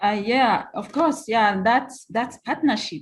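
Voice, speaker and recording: Somewhat breathy, a woman with a non-native accent speaks in a very clean recording with a silent background. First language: not English. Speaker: grassroots nonprofit leader. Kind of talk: panel discussion.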